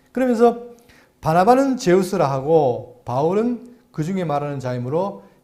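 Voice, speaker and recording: Audible room echo surrounds a man with a high pitch, a dark, mellow tone and very wide pitch swings, speaking at a moderate pace. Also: big swings in loudness. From South Korea, Andong (Gyeongsang). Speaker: pastor. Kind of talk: Bible lecture. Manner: halting, stammering repeats.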